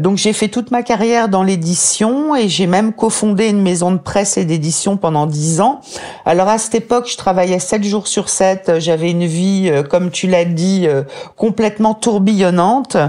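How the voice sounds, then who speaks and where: Speech at a moderate pace with ordinary pitch variation and very even loudness, over noticeable background noise. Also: woman, medium pitch for a woman. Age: 50s. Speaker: author and medical writer, depression survivor. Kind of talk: interview testimony.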